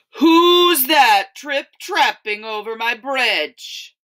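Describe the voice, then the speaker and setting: This is a put-on character voice, bellowing at a high pitch. The delivery is very slow. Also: female-sounding voice. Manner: roaring, grumpy.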